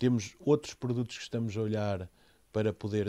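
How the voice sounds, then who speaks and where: On a very clean recording with a silent background, a man speaks in a fairly low-pitched voice with a dark, mellow tone. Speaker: company CEO. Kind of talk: interview.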